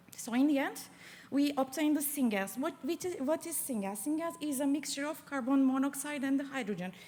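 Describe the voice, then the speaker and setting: With a non-native accent, a woman talks at a fairly quick pace, her high pitch carrying a dark, mellow tone. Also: ordinary pitch variation. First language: not English. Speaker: PhD student. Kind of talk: competition pitch presentation. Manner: halting, many fillers.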